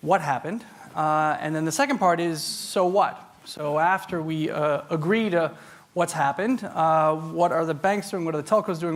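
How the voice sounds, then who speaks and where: A man with a New York accent speaks in a fairly high pitch. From US Northeast, New York. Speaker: tech industry speaker. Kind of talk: conference talk. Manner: loud; fast.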